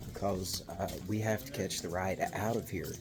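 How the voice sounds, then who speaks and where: A man talks with a Southern US accent. There is noticeable background noise. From US South, West Virginia (McDowell County). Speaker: travel vlogger. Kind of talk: casual travel vlog narration. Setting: outdoors. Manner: animated.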